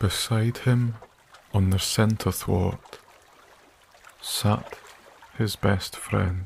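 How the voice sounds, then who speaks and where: Over noticeable background noise, a man speaks very slowly in a calm, soothing tone, with a fairly low pitch and fairly even intonation. He leaves long, frequent pauses. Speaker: sleep story narrator and channel creator. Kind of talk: scripted fairy-tale bedtime narration, soft-spoken ASMR reading. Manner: soft-spoken, slow, calm and soothing, with gentle storyteller pacing and long pauses; warm, hushed, unhurried storytelling.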